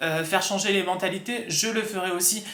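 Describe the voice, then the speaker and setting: A raised, projected voice carries over noticeable background noise and audible room echo. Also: man. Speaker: vlogger. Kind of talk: casual talk to camera. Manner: hesitant, many fillers.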